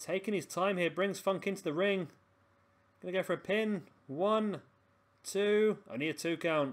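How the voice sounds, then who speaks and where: Over a very clean recording with a silent background, a man with an English accent speaks in a high pitch, leaving long, frequent pauses. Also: ordinary pitch variation, moderate pace. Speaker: gaming commentator. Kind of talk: video game wrestling commentary. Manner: animated commentary, sometimes tongue-tied.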